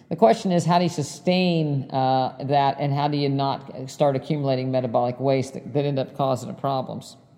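A woman with a very deep, low pitch and ordinary variation speaks at a fairly quick pace, with hardly any pauses, over noticeable background noise. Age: 60s. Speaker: cardiologist and podcast host. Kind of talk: solo podcast monologue. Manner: many fillers like um and uh.

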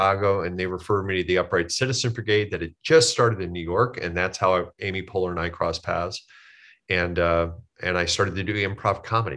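A man's very deep, low voice with a bright, sharp tone and an American accent, very fast, with ordinary pitch variation against a quiet background. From US Midwest. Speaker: comedian. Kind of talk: casual chat.

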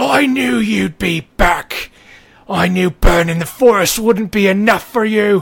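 A man's bellowing, put-on character voice, high-pitched and at a fairly slow pace. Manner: bellowing, hostile.

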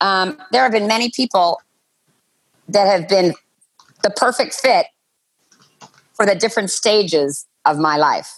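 A woman's medium-pitched voice, fairly slow, with lively intonation, very even loudness, and long, frequent pauses. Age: 60s. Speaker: podcast guest. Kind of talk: casual chat.

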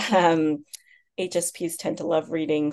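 In an American accent, a woman speaks with an ordinary speaking voice, fairly low in pitch and at a fairly slow pace. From US, Chinese American. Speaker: author. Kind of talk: interview.

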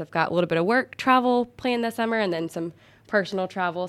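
Speaking very fast with a Southern US accent, a woman keeps her pitch variation ordinary. The recording is very clean, with a silent background. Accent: US South. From Augusta, Georgia. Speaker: golf club employee. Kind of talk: casual chat.

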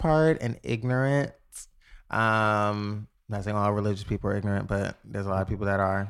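A man speaks with a New York accent. His pitch varies in an ordinary way. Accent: New York City. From the Bronx, New York. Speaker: entertainer and online boutique owner. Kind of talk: casual chat.

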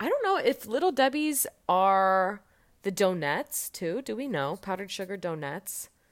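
A woman with an American accent talks at a moderate pace. She has an unremarkable speaking voice at a medium pitch. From Indiana, US Midwest. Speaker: guest. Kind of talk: casual chat. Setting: video call.

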